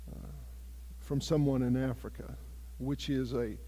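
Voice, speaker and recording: Audible room echo hangs on the recording. The man's accent is American. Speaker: ministry project leader. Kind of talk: church presentation. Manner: loud.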